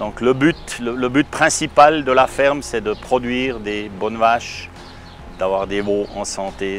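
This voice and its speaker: With music in the background, a man speaks very slowly at medium pitch with ordinary pitch variation. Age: 60s. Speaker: dairy farmer. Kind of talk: testimonial interview. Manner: hesitant with fillers and repetitions.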